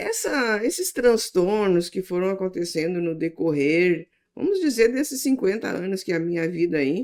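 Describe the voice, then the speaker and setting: A woman talks at a moderate pace with hardly any pauses, in a normal speaking voice. Her pitch is medium and her intonation lively. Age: 60s. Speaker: church podcast host. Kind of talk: interview.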